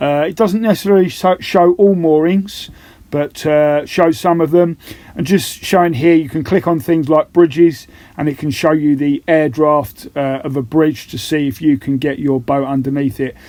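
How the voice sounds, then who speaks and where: A man speaks in a relaxed, dark, mellow tone. His pitch varies in an ordinary way. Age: 50s. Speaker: boat-living vlogger. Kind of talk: casual vlog narration. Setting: on a boat on a river. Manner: relaxed, with many filler sounds.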